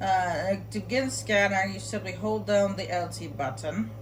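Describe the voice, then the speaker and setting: A woman speaks at a fairly slow pace, with audible room echo and noticeable background noise. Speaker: video game streamer. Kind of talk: gameplay tutorial commentary. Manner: loud; casual, halting with fillers.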